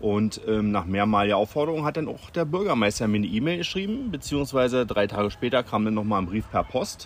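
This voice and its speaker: Speaking at a fairly quick pace, a man with an ordinary speaking voice uses a medium pitch and lively intonation. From Berlin, Germany. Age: 40s. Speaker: local resident and petition initiator. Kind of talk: interview. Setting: recorded while on holiday in Sardinia.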